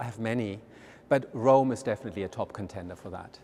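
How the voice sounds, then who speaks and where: Very fast in pace, a man talks with a dark, mellow tone. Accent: German. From Germany. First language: German. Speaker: art museum director. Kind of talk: interview. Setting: walking through a museum. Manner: halting, many fillers.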